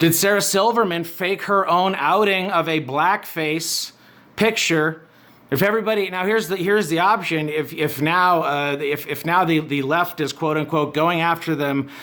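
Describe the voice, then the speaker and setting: A loud man's voice, high in pitch, with ordinary pitch variation at a moderate pace. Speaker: online commentary host. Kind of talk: rant monologue. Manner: animated.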